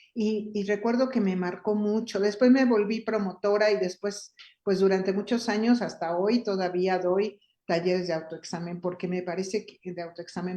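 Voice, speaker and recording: Her voice sits at a medium pitch, and the woman speaks with a dark, mellow tone and fairly even intonation. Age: 60s. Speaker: feminist activist and workshop leader. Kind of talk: interview conversation.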